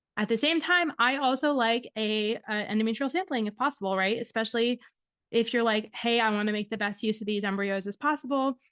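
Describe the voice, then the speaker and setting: A woman's fairly high voice with a slight Michigan accent, fairly quick pace and ordinary pitch variation, in a dry, close sound with no echo against a quiet background. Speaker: fertility doctor and podcast host. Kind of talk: podcast monologue. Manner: casual, conversational with fillers.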